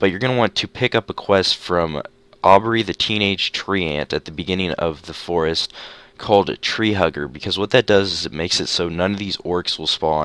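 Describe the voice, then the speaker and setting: In a dry, close sound with no echo, a man talks at a moderate pace with ordinary pitch variation. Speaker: gaming youtuber. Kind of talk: gameplay tutorial. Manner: stuttering.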